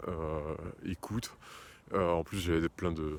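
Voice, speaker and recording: At a fairly slow pace, a man speaks with a very deep, low pitch and fairly even intonation. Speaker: career change coach and choir conductor. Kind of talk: casual talk to camera. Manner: hesitant, many filler sounds.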